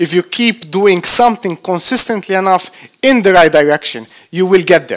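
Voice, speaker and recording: Recorded dry and close with no echo, a man with a non-native accent speaks at a moderate pace in a high pitch. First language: not English. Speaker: motivational speaker. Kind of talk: motivational talk. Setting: stage with audience. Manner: animated.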